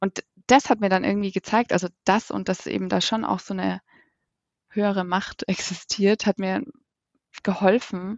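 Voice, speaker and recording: Her intonation is fairly even. The woman speaks at a moderate pace in a medium pitch. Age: 30s. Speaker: coach, endometriosis patient. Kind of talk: interview. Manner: hesitant, many fillers.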